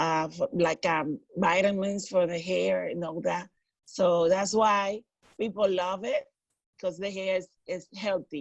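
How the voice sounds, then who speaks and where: Speaking with a Dominican accent, a woman talks at a medium pitch and a fairly slow pace, her intonation fairly even. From Dominican Republic. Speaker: hairstylist. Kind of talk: interview.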